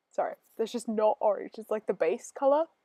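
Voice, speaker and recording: A woman with an Australian accent has a dark, mellow tone and very wide pitch swings, recorded with a dry, close sound with no echo. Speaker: gaming video creator. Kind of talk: casual gameplay voiceover. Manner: chatty, rambling with fillers.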